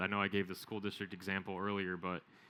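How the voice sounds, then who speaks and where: A man's fairly low, bright, sharp voice, monotone and flat, at a very fast pace on a very clean recording with a silent background. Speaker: business consultant presenter. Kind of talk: conference presentation.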